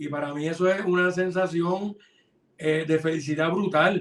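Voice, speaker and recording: The speaker keeps a moderate pace. The intonation stays fairly even. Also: man. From Puerto Rico, Hormigueros (west coast). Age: 50s. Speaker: film and television director. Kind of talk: interview. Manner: casual, conversational with fillers.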